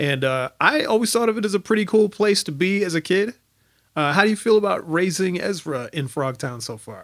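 A man's high-pitched voice with an American accent, fairly quick, with very wide pitch swings. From Minnesota, St. Paul. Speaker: podcast host. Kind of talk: show outro announcements; casual interview.

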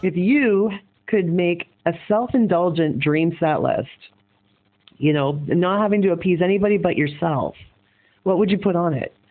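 With a Canadian accent, this speaker moves at a moderate pace and leaves long, frequent pauses. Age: 40s. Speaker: podcast host and rock singer. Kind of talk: interview. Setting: phone call.

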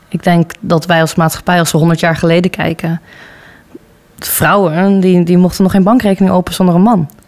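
A woman's fairly low voice at a moderate pace, ordinary pitch variation, and noticeable background noise. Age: 20s. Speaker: student council vice-chair. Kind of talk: interview.

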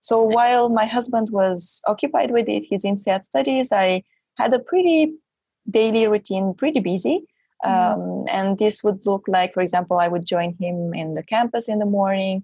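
A woman with a medium pitch and a somewhat breathy voice speaks at a moderate pace. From Romania. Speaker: MBA student's spouse. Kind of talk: interview.

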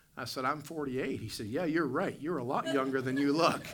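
A man of medium pitch with an American accent, fairly quick, with ordinary pitch variation and audible room echo. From West Virginia. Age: 40s. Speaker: pastor. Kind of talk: sermon. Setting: church. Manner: hesitant with frequent fillers.

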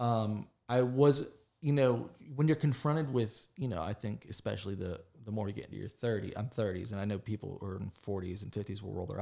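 On a very clean recording with a silent background, a man with a fairly low voice speaks at a fairly quick pace with ordinary pitch variation. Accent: American. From West Virginia, near Pittsburgh. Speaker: arts journalist and critic. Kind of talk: casual interview conversation. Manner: halting, many fillers and restarts.

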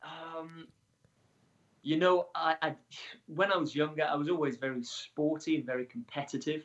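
In a Welsh accent, a man talks at a moderate pace with fairly even intonation and long, frequent pauses. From Wales. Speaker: adventurer and extreme athlete. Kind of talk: interview.

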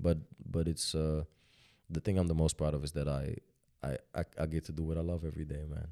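Speaking in a very deep, low pitch with a dark, mellow tone, a man keeps his intonation monotone and flat. The sound is dry and close with no echo, and he leaves long, frequent pauses. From Netherlands. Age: 20s. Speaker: rapper. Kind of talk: casual interview.

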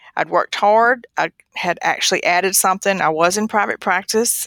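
A woman with a North Carolina accent at a moderate pace, in a dry, close sound with no echo on a very clean recording with a silent background. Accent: Southern US (North Carolina). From northeastern North Carolina. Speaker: radiologist. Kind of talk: interview.

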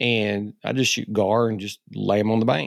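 A man with an Ozark accent and ordinary pitch variation. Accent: Southern US, Ozark. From Arkansas Ozarks, US South. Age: 50s. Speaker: hunter and essayist. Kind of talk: casual chat.

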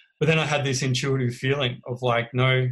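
A man's somewhat breathy, medium-pitched voice at a fairly quick pace. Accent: Australian. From Australia, Melbourne. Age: 30s. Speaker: guest sharing recovery story. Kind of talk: interview testimony.

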